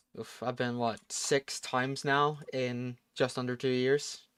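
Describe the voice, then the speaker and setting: With a Texan accent, a man speaks with fairly even intonation. The sound is dry and close with no echo, on a very clean recording with a silent background. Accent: American-sounding, picked up from Texas. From Norway. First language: Norwegian. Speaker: gaming streamer. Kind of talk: casual live stream chat. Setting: live stream.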